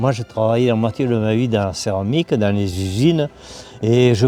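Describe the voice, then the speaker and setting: Music plays in the background as a man of medium pitch speaks at a moderate pace with ordinary pitch variation in a dry, close sound with no echo. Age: 80s+. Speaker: stone engraver and author. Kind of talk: interview storytelling.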